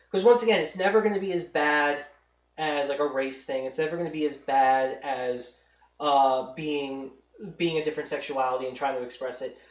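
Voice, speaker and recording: In a New York accent, a woman with a very deep, low pitch speaks at a moderate pace with ordinary pitch variation, and audible room echo fills the space. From New York, Long Island. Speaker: podcast host. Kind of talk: casual chat.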